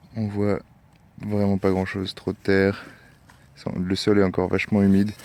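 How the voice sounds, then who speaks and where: A man speaks at a moderate pace in a fairly low pitch. His speech has long, frequent pauses. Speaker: metal detecting vlogger. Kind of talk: casual outdoor vlog commentary. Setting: outdoors in a field.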